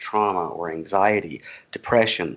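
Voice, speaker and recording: Speaking in a Southern US accent, a man uses a fairly low pitch with ordinary variation. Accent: Southern US accent, thinner than host's. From US South, Georgia. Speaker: cannabis activist. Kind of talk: interview.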